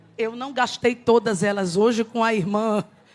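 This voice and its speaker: Music plays in the background as a woman speaks in an animated tone with a high pitch. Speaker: preacher. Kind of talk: sermon.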